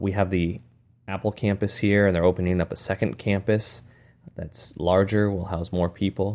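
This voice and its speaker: Here is a man with an American accent and a very deep, low pitch. The recording is very clean, with a silent background. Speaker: teacher and aspiring school administrator. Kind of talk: solo podcast monologue. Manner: casual, conversational, with hesitations.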